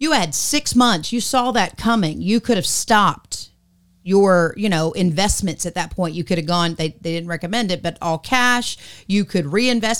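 A woman at medium pitch sounds animated, with lively intonation at a moderate pace, in a very clean recording with a silent background. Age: 50s. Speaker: podcast co-host. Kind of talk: casual chat.

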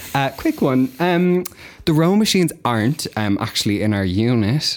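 A man with an Irish accent talks at a fairly slow pace, with a medium pitch and lively intonation. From Ireland, County Kildare. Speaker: agency worker in marketing. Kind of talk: casual chat. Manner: giggly.

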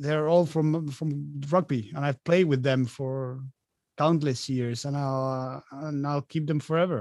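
Speaking at a very slow pace, a man with a Spanish accent has a fairly high pitch and fairly even intonation. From Argentina. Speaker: professional rugby player. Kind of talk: interview.

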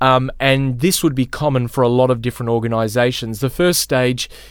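A man's medium-pitched voice in an Australian accent, at a moderate pace. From Australia, Melbourne. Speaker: pastor. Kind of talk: teaching conversation.

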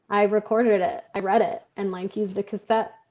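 With an American accent, a woman uses an unremarkable speaking voice at a medium pitch, keeping a moderate pace and fairly even intonation. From Michigan. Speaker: author and freelance writer. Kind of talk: casual interview chat.

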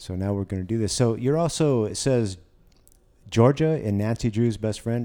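Dark and mellow in tone, a man's fairly low voice moves at a fairly quick pace with ordinary pitch variation. The recording is very clean and the background silent. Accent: American. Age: 40s. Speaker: podcast host. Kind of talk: casual interview.

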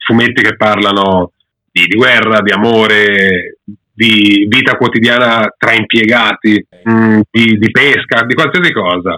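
Very slowly, a man with a fairly low pitch speaks at a very even loudness. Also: fairly even intonation. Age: 30s. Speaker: manga YouTuber, former comics student. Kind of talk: casual interview chat.

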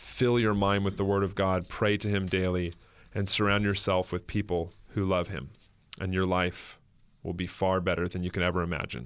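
A man with an American accent, very deep and low in pitch, fairly even in intonation, on a very clean recording with a silent background. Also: moderate pace. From northern California. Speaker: pastor. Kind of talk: testimony. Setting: studio. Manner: casual.

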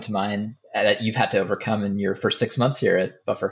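A man talks at a fairly quick pace. His medium-pitched voice is somewhat breathy. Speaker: podcast co-host. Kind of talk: interview conversation.

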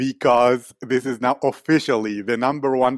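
Recorded very cleanly with a silent background and a dry, close sound with no echo, a man has an unremarkable speaking voice, medium pitch, fairly even intonation and a moderate pace. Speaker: podcast host. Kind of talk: interview.

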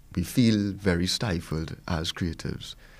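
On a very clean recording with a silent background, a man speaks at a fairly slow pace with a very deep, low pitch. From Trinidad and Tobago. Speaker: music producer. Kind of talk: panel discussion.

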